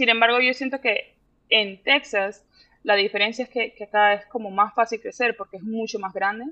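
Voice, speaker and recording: A woman with a bright, sharp tone and fairly high pitch talks at a moderate pace with fairly even intonation, the sound dry and close with no echo. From Panama. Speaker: visual artist. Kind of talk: interview. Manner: halting.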